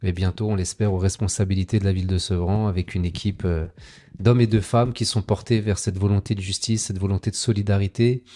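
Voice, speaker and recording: Speaking at a very fast pace, a man with a dark, mellow tone and a somewhat breathy voice keeps his intonation fairly even in a very clean recording with a silent background and a dry, close sound with no echo. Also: fairly low pitch for a man. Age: 40s. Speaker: local politician. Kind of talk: interview.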